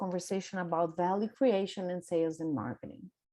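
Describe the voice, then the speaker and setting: Over a quiet background, a woman with a Brazilian Portuguese accent speaks in a dark, mellow tone. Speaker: business coach. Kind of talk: workshop presentation. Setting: video conference.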